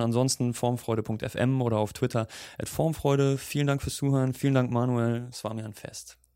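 With a normal speaking voice, a man talks at a fairly quick pace, at medium pitch and with fairly even intonation. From Germany. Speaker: podcast host. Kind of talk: interview.

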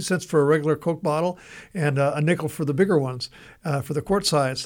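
A man with an American accent and an ordinary speaking voice talks fairly quickly at a fairly high pitch, with ordinary pitch variation, in a very clean recording with a silent background. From Southern California. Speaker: radio show host. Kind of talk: casual chat.

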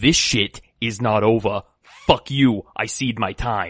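A man uses a put-on character voice at a medium pitch. He delivers it at a fairly slow pace. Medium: actual play. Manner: indignant, blustering, theatrical.

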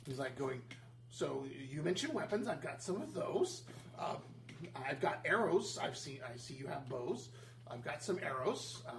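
Over clear background noise, a man does a put-on character voice at a medium pitch and a moderate pace. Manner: eager, cheerful salesman.

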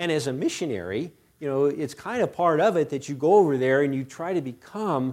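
The recording is very clean, with a silent background. A man with a fairly high pitch talks at a fairly quick pace, his voice making very wide pitch swings. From United States. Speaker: missionary and guest preacher. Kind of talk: sermon. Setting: church. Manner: hesitant, many fillers and repetitions.

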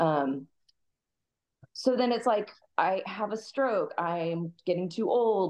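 Lively intonation runs through the speech of a woman with an American accent. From US Midwest, Kansas City. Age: 40s. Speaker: Muay Thai fighter. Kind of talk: casual interview chat.

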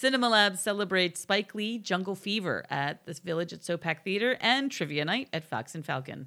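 At a fairly quick pace, a woman with a New Jersey accent speaks at a medium pitch in a bright, sharp tone with lively intonation, on a very clean recording with a silent background. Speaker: local community podcast co-host. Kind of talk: reading an events calendar; casual chat.

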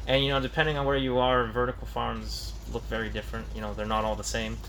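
In a room with audible echo, a man with an American accent talks at a fairly quick pace. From Tucson, Arizona, US. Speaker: engineering student. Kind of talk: interview. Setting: research vertical farm.

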